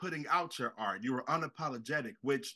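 A man speaks with a bright, sharp tone and lively intonation. The background is quiet. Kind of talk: casual heartfelt tribute. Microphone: video call.

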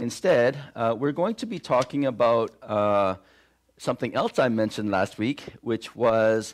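A man speaks at medium pitch with ordinary pitch variation over a quiet background. His pace is fairly slow, with long, frequent pauses. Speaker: pastor. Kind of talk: sermon. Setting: church. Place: church.

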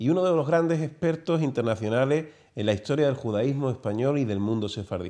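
Over a quiet background, a man speaks at a fairly quick pace. His intonation is lively and his tone dark and mellow. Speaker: TV show host. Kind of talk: interview. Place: studio. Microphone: lapel.

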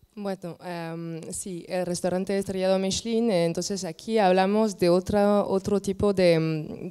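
A woman with a French accent and a dark, mellow tone speaks at a fairly slow pace with monotone, flat intonation and hardly any pauses, over a quiet background. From France. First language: French (speaking Spanish). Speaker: landscape architect and wine tourism expert; panel expert. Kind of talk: panel discussion. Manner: halting. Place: hall. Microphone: handheld.

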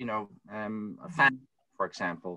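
The voice has a bright, sharp tone at a moderate pace. The background is quiet. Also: man. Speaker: researcher panelist; panelist. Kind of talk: academic panel discussion. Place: home room. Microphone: webcam.

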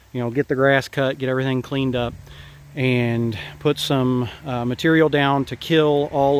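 Over light background noise, a man speaks at a fairly slow pace with fairly even intonation, the sound dry with no echo. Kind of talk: casual vlog chat. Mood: relaxed, easygoing. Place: garden. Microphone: phone near.

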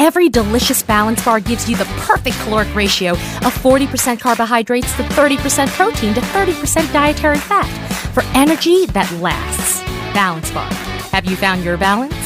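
Noticeable background noise sits behind a woman talking at a fairly quick pace in a dry sound with no echo. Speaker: voice actor. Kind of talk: TV commercial read. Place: booth.

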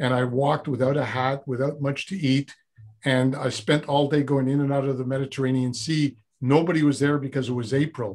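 A man's fairly high, flat, monotone voice at a fairly quick pace against a quiet background. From Montreal, Quebec. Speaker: former Zen monk, personal development coach; personal development coach. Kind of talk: interview conversation. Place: studio. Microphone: video call.

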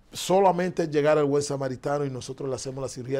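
In a dark, mellow tone, a man talks at a fairly quick speed. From Dominican Republic. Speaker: foundation director; interview guest. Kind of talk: interview. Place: studio. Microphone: lapel.

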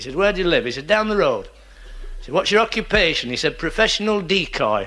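Talking at a very fast pace with a Lancashire accent, this man lets his loudness swing widely. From northern England. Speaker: stand-up comedian. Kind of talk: stand-up comedy routine. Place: stage.

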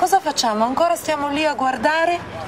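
Music plays in the background. A woman speaks at a moderate pace. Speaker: interviewer, director. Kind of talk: interview questions and appeal to camera. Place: cafe.

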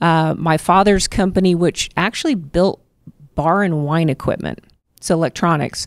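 A woman's plain, everyday voice, fairly low in pitch, at a fairly quick pace with ordinary pitch variation, a dry sound with no echo, and a quiet background. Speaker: candidate. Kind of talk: interview answer. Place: cafe. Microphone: handheld.

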